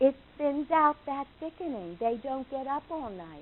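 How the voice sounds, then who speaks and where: A woman with a New York accent speaks at a fairly slow pace, her intonation lively. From New York, Long Island. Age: 70s. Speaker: nutritional consultant. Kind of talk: lecture.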